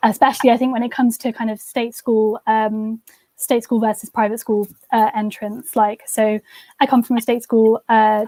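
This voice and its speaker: A woman's fairly high voice with a dark, mellow tone, monotone, flat intonation and a moderate pace, dry and close with no echo. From southern England, home counties. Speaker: university student. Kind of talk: interview. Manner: hesitant, many fillers.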